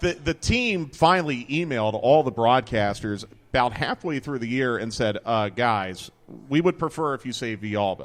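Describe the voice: Speaking at a medium pitch and moderate pace, a man with a Philadelphia accent uses lively intonation.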